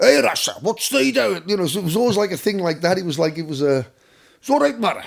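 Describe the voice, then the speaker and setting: A man talks at a very fast pace in a high pitch, with very wide pitch swings. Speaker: musician. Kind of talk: podcast interview. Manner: animated.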